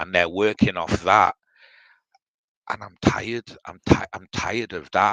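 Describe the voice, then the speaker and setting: Speaking with a British accent, a man has a fairly low pitch, a bright, sharp tone and fairly even intonation, moving at a fairly slow pace with long, frequent pauses and big swings in loudness, in a dry, close sound with no echo. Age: 60s. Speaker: live stream participant. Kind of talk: casual chat.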